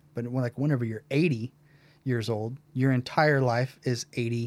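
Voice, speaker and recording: With fairly even intonation and a medium pitch, a man talks in a normal speaking voice. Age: 30s. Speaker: former band drummer. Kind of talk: casual chat.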